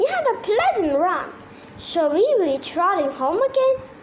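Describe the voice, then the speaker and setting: Over clear background noise, a woman uses a put-on character voice at an extremely high pitch, with very wide pitch swings and a moderate pace. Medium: read story.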